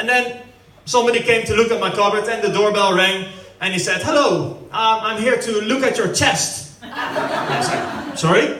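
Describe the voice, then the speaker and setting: In a raised, projected voice, a man with a Dutch accent and a high pitch speaks at a fairly quick pace with ordinary pitch variation, amid audible room echo and noticeable background noise. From Netherlands. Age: 30s. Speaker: stand-up comedian. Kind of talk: stand-up. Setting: stage with audience at family birthday party.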